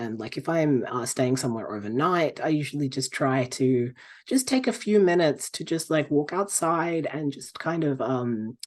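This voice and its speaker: A man with an Australian accent speaks at a moderate pace, barely pausing, with lively intonation and a fairly high pitch. The background is quiet. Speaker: pagan practitioner and author. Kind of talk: podcast interview. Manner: halting, many fillers.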